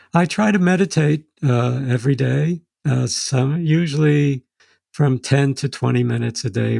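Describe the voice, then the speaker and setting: A man with an American accent speaks at a medium pitch in a dark, mellow tone that is somewhat breathy. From New York City. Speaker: second-generation Holocaust survivor. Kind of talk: interview. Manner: halting.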